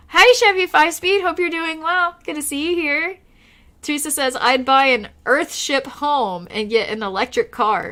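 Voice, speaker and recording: With an Oklahoma accent, a woman speaks at a moderate pace in a raised, projected voice, high-pitched with a bright, sharp tone and very wide pitch swings, on a very clean recording with a silent background. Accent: Oklahoman (Okie). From Oklahoma, US. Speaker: live streamer. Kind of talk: casual live stream chat. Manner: casual, chatty.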